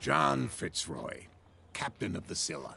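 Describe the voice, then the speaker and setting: In a put-on character voice, a man speaks at a fairly slow pace with a calm, raspy tone and a very deep, low pitch. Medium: video game. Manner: calm, direct.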